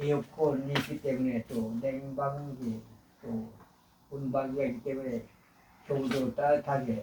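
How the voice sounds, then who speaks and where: A man speaks in a monotone, flat way at a very slow pace and medium pitch, with long, frequent pauses and noticeable background noise. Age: 80s+. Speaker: elderly vlogger. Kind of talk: personal monologue. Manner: halting, with filler sounds.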